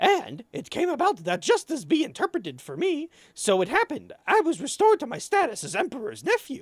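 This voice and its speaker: A high-pitched, put-on character voice moves at a fairly quick pace. There are hardly any pauses. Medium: game stream.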